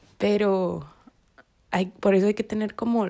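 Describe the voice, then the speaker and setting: A woman's dark, mellow tone comes through at a very slow pace. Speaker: podcaster. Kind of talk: casual reflective monologue. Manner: halting; spontaneous.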